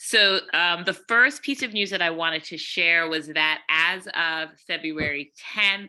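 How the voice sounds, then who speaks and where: Speaking at a fairly slow pace with hardly any pauses, a woman has a fairly low pitch and ordinary pitch variation. She has an ordinary speaking voice. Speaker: school principal. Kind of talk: report to a meeting.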